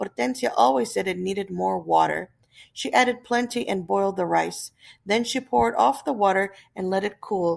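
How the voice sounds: What we hear is a natural reading voice.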